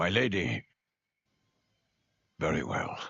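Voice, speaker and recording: In a put-on character voice, a man growls out a very deep, low, raspy sound. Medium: video game. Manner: formal, polite.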